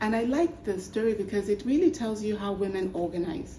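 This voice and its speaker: A woman talks at a moderate pace with a medium pitch. Room echo can be heard. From Nigeria. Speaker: human rights activist. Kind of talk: panel discussion. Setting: stage with audience.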